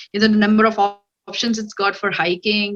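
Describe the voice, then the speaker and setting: Bright and sharp in tone, a woman speaks with a Telugu accent at a fairly high pitch. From India, Hyderabad. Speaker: cybersecurity analyst. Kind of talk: interview. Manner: hesitant, many fillers.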